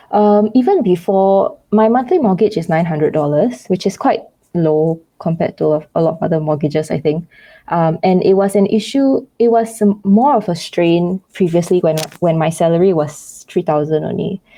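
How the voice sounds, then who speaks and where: A woman speaks with a Singaporean accent. Her pace is moderate. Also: medium pitch for a woman, ordinary pitch variation. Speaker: YouTuber. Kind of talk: interview. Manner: hesitant, many fillers.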